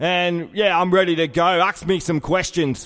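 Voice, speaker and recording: Delivered at a moderate pace, the voice has a strong Australian accent and fairly even intonation. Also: man. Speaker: comedy sports commentator. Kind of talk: casual comedic chat.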